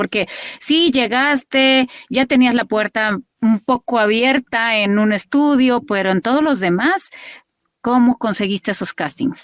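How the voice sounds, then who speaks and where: A woman speaks with a high-pitched voice. Her pace is fairly slow. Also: ordinary pitch variation, dry, close sound with no echo, very clean recording, silent background. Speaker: voice actress. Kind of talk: interview questions.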